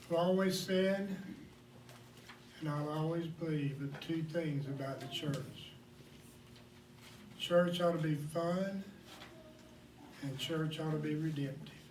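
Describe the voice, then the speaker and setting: A man talks at a very slow pace and a fairly high pitch, with fairly even intonation and long, frequent pauses. Noticeable background noise and audible room echo are present. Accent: American. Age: 60s. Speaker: pastor. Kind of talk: sermon.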